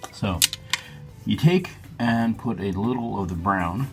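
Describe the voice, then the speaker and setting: A man talks while music plays in the background. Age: 40s. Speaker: grooming vlogger. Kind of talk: casual talk to camera.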